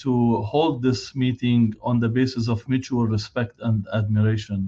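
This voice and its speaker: A man with a non-native accent speaks at a fairly slow pace, his intonation fairly even. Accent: foreign. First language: not English. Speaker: physician and hospital director. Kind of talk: keynote speech. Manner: halting, many filler sounds.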